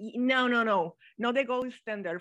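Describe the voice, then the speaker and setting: A woman's high voice with a Mexican accent, fairly slow and lively in intonation, over a quiet background. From Mexico. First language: Spanish. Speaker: guest, translator and economist. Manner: halting, searching for words.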